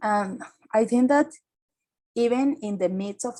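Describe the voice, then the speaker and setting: At a fairly slow pace, a woman talks in a dark, mellow tone. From Caribbean coast of Colombia. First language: Spanish. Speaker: climate activist. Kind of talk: seminar talk. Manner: halting, with many fillers.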